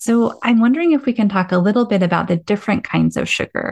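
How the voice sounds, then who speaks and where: Somewhat breathy and medium in pitch, a woman speaks at a moderate pace with ordinary pitch variation in a dry, close sound with no echo. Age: 40s. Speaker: podcast host and meditation guide. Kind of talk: casual chat.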